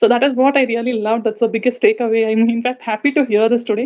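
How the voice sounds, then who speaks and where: A woman with a South Indian accent at a very fast pace. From India, Visakhapatnam. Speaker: communication coach, audience participant. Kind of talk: casual chat. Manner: fluent.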